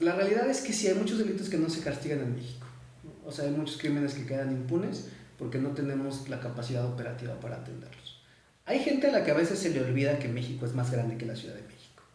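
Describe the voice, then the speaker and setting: Someone with a Mexican accent talks at a very fast pace, with audible room echo and noticeable background noise. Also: man, fairly high pitch for a man. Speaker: men's rights advocate. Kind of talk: live stream interview.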